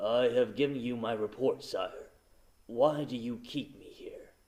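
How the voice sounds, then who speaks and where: A man's put-on character voice, raspy, at medium pitch and a fairly slow pace. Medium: read story. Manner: terse, formal, deferential.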